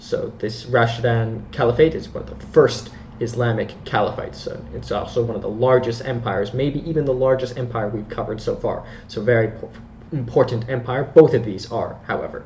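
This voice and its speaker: With audible room echo, a man speaks at a fairly quick pace, his loudness swinging widely. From Canada. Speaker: history educator. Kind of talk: educational lecture. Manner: halting, frequent self-corrections.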